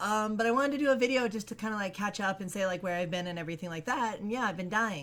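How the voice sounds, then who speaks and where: A woman's medium-pitched voice at a very fast pace, with ordinary pitch variation and hardly any pauses. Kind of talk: casual talk to camera.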